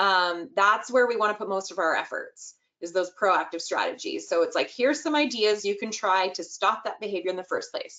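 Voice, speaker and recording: A woman with an unremarkable speaking voice talks at a fairly quick pace, with hardly any pauses. Her pitch is fairly high and her intonation lively. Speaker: early childhood inclusion expert. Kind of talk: webinar presentation.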